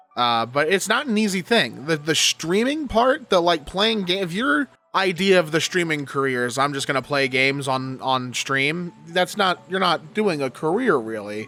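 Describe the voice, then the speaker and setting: Over music in the background, a man with a fairly high pitch talks at a moderate pace, with very wide pitch swings and hardly any pauses. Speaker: YouTuber reading and commenting on Reddit posts. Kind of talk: casual commentary. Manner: halting, stuttering.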